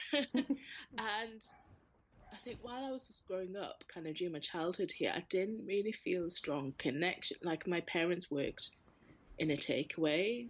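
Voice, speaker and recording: A woman with a Geordie accent, medium pitch and lively intonation, at a moderate pace with long, frequent pauses. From northern England, Newcastle. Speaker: arts sector worker and charity chair. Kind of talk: casual interview chat. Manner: hesitant, repeats words.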